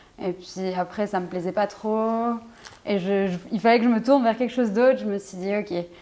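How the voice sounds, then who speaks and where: The woman keeps a fairly even intonation at a medium pitch. Noticeable background noise runs underneath. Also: moderate pace. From Switzerland, Fribourg. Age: 20s. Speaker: basketball player. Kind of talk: interview. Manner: hesitant, many fillers.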